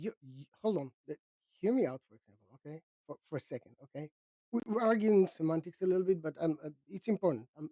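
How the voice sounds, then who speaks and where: A man with a non-native accent talks very fast in a high pitch and a dark, mellow tone, with lively intonation and big swings in loudness, in a dry, close sound with no echo. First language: not English. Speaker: atheist debater. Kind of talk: heated debate. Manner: halting.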